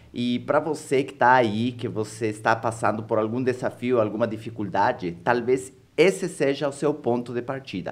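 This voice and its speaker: Man with an Ecuadorian accent, medium pitch, ordinary pitch variation and a moderate pace. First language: Spanish (speaking Portuguese). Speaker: entrepreneur and author. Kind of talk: podcast interview.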